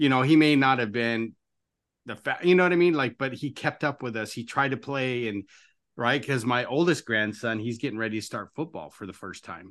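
This is an unremarkable speaking voice with ordinary pitch variation and big swings in loudness. It moves at a fairly quick pace against a quiet background. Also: man, medium pitch for a man. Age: 50s. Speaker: podcast host. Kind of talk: interview conversation.

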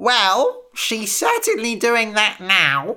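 A put-on character voice, female-sounding, at a medium pitch. The pace is very slow. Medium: read story. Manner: chatty, wry.

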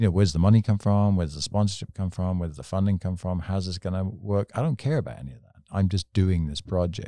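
With an English accent, a man speaks at a very fast pace with hardly any pauses, his very deep, low pitch carrying a dark, mellow tone, ordinary pitch variation and big swings in loudness, all in a dry, close sound with no echo on a very clean recording with a silent background. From England. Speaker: motorcycle storyteller. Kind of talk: casual chat. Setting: studio.

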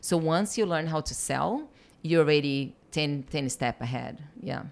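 A woman with a Portuguese accent speaks at a fairly slow pace in a very deep, low pitch, with ordinary pitch variation, on a very clean recording with a silent background. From Brazil. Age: 30s. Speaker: business mentor. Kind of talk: casual chat. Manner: animated.

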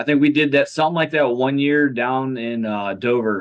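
A man with an ordinary speaking voice talks in an American accent. His pace is fairly quick and his intonation fairly even. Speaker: vintage baseball team captain. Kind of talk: casual interview.

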